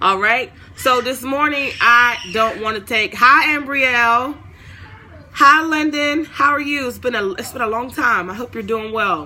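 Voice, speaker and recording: A woman's animated, high-pitched voice at a fairly slow pace, with ordinary pitch variation, amid noticeable background noise. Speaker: online Bible teacher. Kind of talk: livestream Bible talk.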